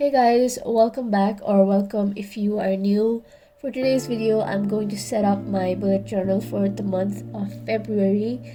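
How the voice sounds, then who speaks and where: Moderate pace over noticeable background noise. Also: woman. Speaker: bullet journal YouTuber. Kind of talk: casual talk to camera.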